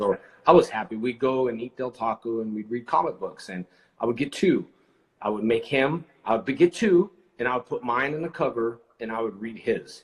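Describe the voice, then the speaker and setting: Using a normal speaking voice, a man talks at a moderate pace in a medium pitch with ordinary pitch variation. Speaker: actor and live show host. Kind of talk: casual livestream conversation with a guest.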